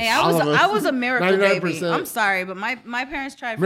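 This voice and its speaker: Over noticeable background noise, a woman talks at a fairly quick pace with fairly high pitch and very wide pitch swings. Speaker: podcast co-host.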